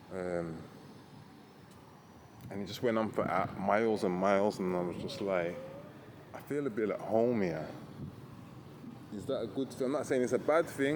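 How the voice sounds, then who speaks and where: A man with a British accent, medium-pitched, with ordinary pitch variation and a moderate pace. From Britain. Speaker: backpacker travel vlogger. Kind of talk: casual walking talk to camera. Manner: hesitant, rambling.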